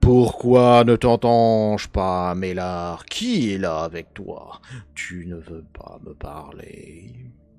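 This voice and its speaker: Putting on a character voice, a man talks at a very slow pace in a fairly low voice, with ordinary pitch variation and big swings in loudness. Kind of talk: smooth.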